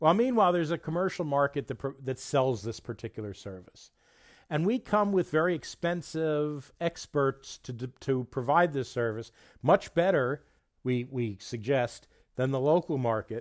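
A man with a New Jersey accent talks at a moderate pace and a fairly high pitch. His intonation is lively, and the sound is dry and close with no echo. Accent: New Jersey American. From New Jersey, US. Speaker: podcast host, international development worker. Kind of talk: podcast intro monologue.

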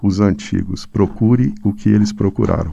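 A man speaks at a moderate pace with a fairly low pitch and a dark, mellow tone. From Brazil, northern Minas Gerais (Pirapora). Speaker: singer-songwriter and poet. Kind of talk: interview. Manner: halting, many repetitions.

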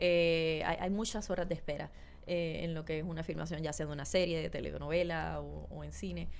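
A woman talks at a fairly quick pace, and the room echo is audible. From Puerto Rico, Guayama (south). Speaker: actress. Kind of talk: casual interview.

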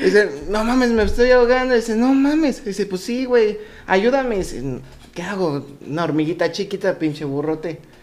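Lively intonation runs at a fairly quick pace amid noticeable background noise. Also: man, high pitch for a man. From Mexico, Querétaro. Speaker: podcast co-host. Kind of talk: casual chat, telling jokes. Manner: animated.

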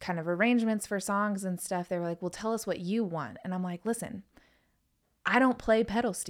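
A woman with a Southern US accent at a moderate pace, with ordinary pitch variation, in a very clean recording with a silent background. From North Carolina. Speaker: country music singer. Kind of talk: casual chat.

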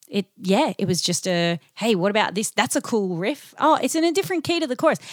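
A woman with an Australian accent speaks with very wide pitch swings. The sound is dry and close with no echo, on a very clean recording with a silent background. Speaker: singer-songwriter in a band. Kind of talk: casual interview chat. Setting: in-person conversation.

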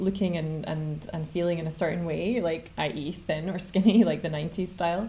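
Somewhat breathy, a woman speaks at a fairly low pitch and a moderate pace. Her intonation stays flat and monotone. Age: 30s. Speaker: podcast host. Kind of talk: interview.

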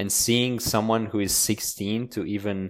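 A man talks moderately fast, his intonation fairly even. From Romania and Italy. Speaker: polyglot and language learner. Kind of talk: casual interview chat.

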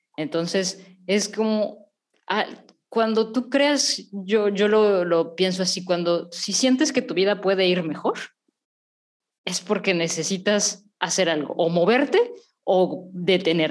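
A woman of medium pitch talks at a very slow pace. Her pitch variation is ordinary. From Mexico. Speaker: podcast host, therapist. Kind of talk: casual chat.

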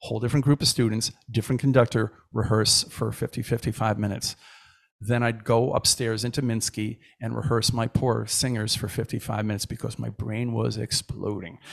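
A man's medium-pitched voice with vocal fry and a flat, monotone delivery. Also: fairly quick pace. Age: 50s. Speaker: choir director and music educator. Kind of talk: casual chat.

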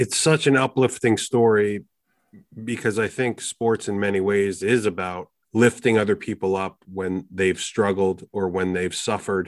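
A man talks at a moderate pace with a fairly low pitch and fairly even intonation, in an unremarkable speaking voice. The sound is dry and close with no echo, over a quiet background. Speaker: podcast host. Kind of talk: interview.

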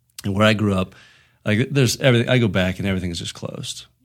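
Talking at a very rapid clip, a man uses a rather deep voice. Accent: American. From southwestern Pennsylvania. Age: 30s. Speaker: insurance agent. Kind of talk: casual interview.

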